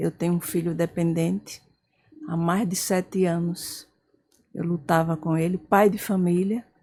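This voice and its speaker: Speaking at a fairly slow pace, the woman has a fairly low, dark, mellow voice with fairly even intonation. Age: 70s. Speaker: support group volunteer, mother. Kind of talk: testimony.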